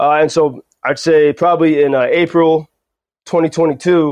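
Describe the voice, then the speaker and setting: A plain, everyday voice with fairly even intonation comes through over a quiet background. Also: man. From United States. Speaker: journalist. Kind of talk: interview. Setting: remote call.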